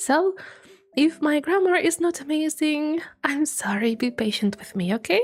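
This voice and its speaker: A woman with a high pitch speaks at a moderate pace with very wide pitch swings. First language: not English. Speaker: vtuber streamer. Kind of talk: live stream chat. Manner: animated, giggly.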